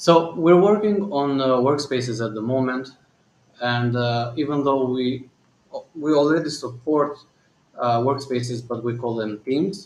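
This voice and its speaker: A man with a slight non-native accent and a medium pitch speaks at a moderate pace with ordinary pitch variation. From Albania. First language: Albanian. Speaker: company founder and CEO. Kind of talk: live Q&A and software demo. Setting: live stream. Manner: hesitant, many fillers.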